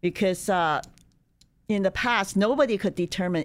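A woman speaks with a Chinese accent. The recording is very clean, with a silent background. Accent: Mandarin Chinese. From China. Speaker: human rights speaker. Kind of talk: interview. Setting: studio.

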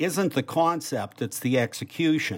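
The speaker has a Boston accent and a fairly slow pace. The pitch varies in an ordinary way. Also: man. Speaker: political journalist and podcast co-host. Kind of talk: interview. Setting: video call.

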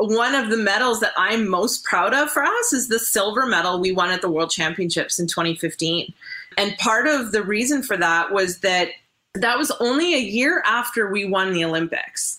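A plain, everyday voice with a Canadian accent, lively intonation, very even loudness and a moderate pace. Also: woman, fairly high pitch for a woman. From Canada. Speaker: curler turned broadcaster. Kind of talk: casual interview.

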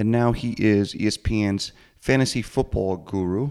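This man has an ordinary speaking voice, medium in pitch with ordinary variation, and speaks with an American accent. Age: 30s. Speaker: podcast host. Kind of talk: casual interview.

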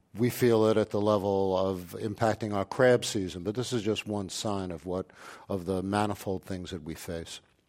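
A man speaks in a plain, everyday voice at a moderate pace with fairly even intonation, on a very clean recording with a silent background. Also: fairly low pitch for a man. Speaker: physician. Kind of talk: panel discussion. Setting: stage with live audience.

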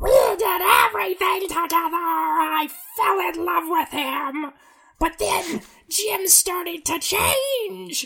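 Extremely high pitch in a put-on character voice, moving at a fairly slow pace. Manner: evil.

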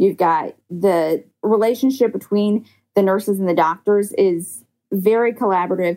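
A woman speaks at a moderate pace in a normal speaking voice, her pitch medium and its variation ordinary. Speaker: ER travel nurse. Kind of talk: interview.

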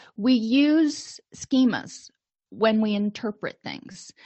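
The voice is loud, with ordinary pitch variation. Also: woman. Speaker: counselor educator presenting a webinar. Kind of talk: lecture. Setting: live webinar. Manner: animated.

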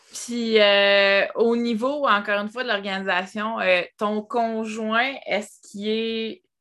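A woman with a Quebec accent speaks very slowly, at a fairly high pitch, with a bright, sharp tone, fairly even intonation, and hardly any pauses. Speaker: podcast host. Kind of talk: casual interview.

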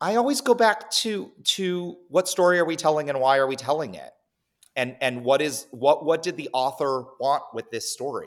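In a very clean recording with a silent background, a man with a plain, everyday voice and a fairly high pitch talks at a moderate pace, his intonation lively and his loudness swinging widely. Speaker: theater artistic director. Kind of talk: casual interview chat. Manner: candid, articulate.

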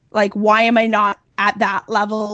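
A woman speaks at a moderate pace in a fairly high pitch. Hers is a plain, everyday voice. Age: 40s. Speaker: marketing agency founder. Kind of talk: interview.

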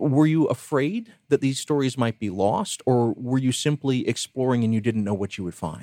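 A man talks at a moderate pace with hardly any pauses, in a medium pitch with ordinary pitch variation. His tone is dark and mellow, and the sound is dry and close with no echo. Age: 40s. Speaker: radio host. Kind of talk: interview.

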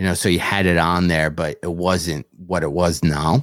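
With a Michigan accent, a man speaks at a fairly slow pace in a very deep, low pitch and fairly even intonation, the sound dry and close with no echo on a very clean recording with a silent background. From Michigan, US. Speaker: comedian. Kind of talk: casual interview chat.

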